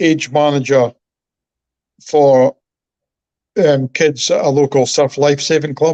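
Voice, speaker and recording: With a slight Scottish accent, a man speaks in a fairly high, dark and mellow voice, monotone and flat, at very even loudness, with long, frequent pauses. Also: dry, close sound with no echo. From Scotland. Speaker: stroke survivor. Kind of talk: interview.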